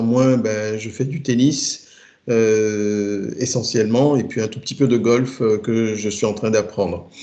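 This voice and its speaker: Amid audible room echo, a man speaks very slowly at a medium pitch, his dark, mellow tone held to fairly even intonation. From Togo. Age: 50s. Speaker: IT project manager. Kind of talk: interview. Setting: remote work from home. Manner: halting.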